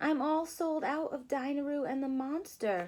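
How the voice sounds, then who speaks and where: A put-on character voice from a woman, high-pitched, at a moderate pace. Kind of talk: bedtime story. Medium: read story.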